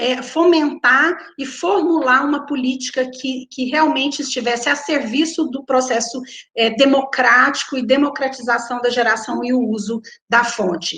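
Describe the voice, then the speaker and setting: With a high pitch and ordinary pitch variation, a woman talks at a fairly slow pace. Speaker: researcher presenting public energy policy. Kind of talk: conference talk. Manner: hesitant repetitions.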